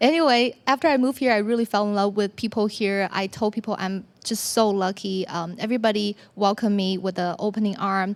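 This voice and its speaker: Speaking at a fairly quick pace with a Chinese accent, a woman uses a medium pitch and ordinary pitch variation on a very clean recording with a silent background. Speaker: business owner. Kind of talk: personal story talk. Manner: hesitant, with many fillers.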